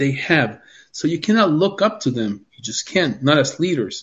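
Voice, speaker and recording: A man's fairly high, somewhat breathy voice with a Spanish accent and lively intonation. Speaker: doctor sharing life experience. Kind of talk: interview.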